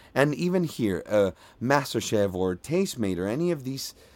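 A man speaks at a medium pitch with a dark, mellow tone. His pitch swings very widely, in a Venezuelan accent. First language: Spanish. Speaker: voiceover artist. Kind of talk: casual interview. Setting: remote recording from a mobile home by the beach.

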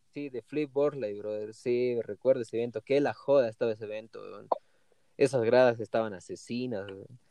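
A man's medium-pitched voice with a dark, mellow tone, fairly even intonation, a moderate pace and big swings in loudness, dry and close with no echo. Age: 20s. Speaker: professional skateboarder. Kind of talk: interview.

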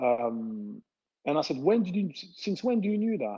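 A man with a French accent, a dark, mellow tone, very wide pitch swings and a moderate pace. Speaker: former footballer. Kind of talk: casual interview. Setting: remote call during lockdown. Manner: halting.

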